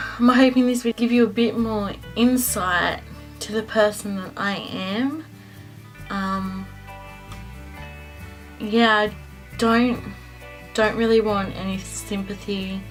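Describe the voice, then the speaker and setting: Music plays in the background as a woman with an Australian accent speaks very slowly in a fairly high voice, with fairly even intonation and long, frequent pauses. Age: young. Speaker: cancer survivor. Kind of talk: casual storytelling to camera.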